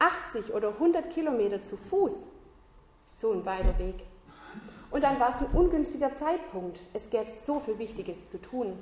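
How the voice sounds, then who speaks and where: A woman's high voice, fairly slow, with very wide pitch swings, long, frequent pauses, noticeable background noise and audible room echo. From southern Germany. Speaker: Bible school teacher, lay preacher. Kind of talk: sermon.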